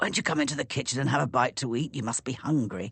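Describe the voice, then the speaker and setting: At a very fast pace, the speaker uses a raspy, put-on character voice. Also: man, medium pitch for a man. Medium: read story.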